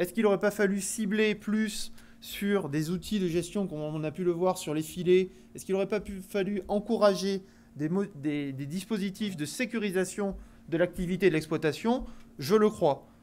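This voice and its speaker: A man with a southwestern French accent talks in a high pitch at a moderate pace. His pitch varies in an ordinary way, while his loudness swings a lot. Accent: southwest French. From southwest France. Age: young. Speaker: agricultural finance executive. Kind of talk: conference talk. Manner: hesitant, many fillers.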